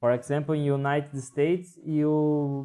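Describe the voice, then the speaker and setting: Speaking very slowly, a man uses a fairly high-pitched voice with a dark, mellow tone. He has a Portuguese accent. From Brazil. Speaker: English learner. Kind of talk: casual chat. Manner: halting, frequent repetitions and fillers.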